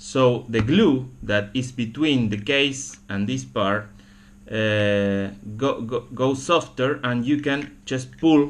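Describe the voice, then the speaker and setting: A man with a Spanish accent talks at a very slow pace. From Argentina. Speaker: camera repair hobbyist. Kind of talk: tutorial. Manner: halting, many fillers and repetitions.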